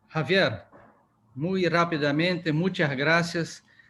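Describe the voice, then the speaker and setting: The man's delivery is fairly slow, and his intonation stays fairly even. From Brazil. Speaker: orthopedic surgeon. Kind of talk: thank-you remarks.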